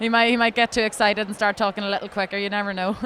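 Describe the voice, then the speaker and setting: Against noticeable background noise, a woman with an Ulster accent talks very fast in a monotone, flat delivery, fairly high in pitch. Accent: Ulster Irish (Monaghan). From Ireland, County Monaghan. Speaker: beauty pageant contestant. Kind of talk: interview. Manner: hesitant, many fillers.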